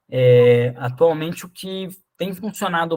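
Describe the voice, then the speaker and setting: Here a man speaks at a high pitch with ordinary pitch variation. His pace is very slow. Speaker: agroforestry course instructor. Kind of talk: online lecture.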